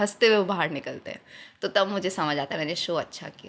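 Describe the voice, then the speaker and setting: With an ordinary speaking voice, a woman talks at a medium pitch with lively intonation. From Jodhpur, Rajasthan. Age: 20s. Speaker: poet, spoken word artist. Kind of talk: interview answer.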